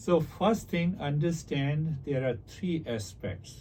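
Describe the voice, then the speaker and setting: Over audible room echo, a man speaks at a very slow pace in a dark, mellow tone that is somewhat breathy. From India. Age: 60s. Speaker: meditation teacher and author. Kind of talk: interview about spirituality.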